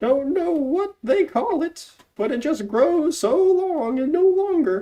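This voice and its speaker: A woman puts on a squeaky character voice, high in pitch, at a fairly slow pace. Her pitch swings very widely. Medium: read story. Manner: brisk, plainspoken.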